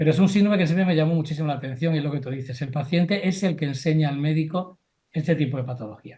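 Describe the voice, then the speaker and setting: This man speaks very fast in a fairly high pitch, with ordinary pitch variation. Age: 60s. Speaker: family doctor. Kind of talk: panel discussion.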